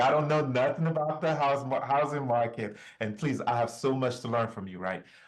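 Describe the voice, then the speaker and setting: A man talks at a fairly quick pace in a fairly high voice with ordinary pitch variation. Room echo is audible. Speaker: bitcoin presenter. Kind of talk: online presentation. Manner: animated.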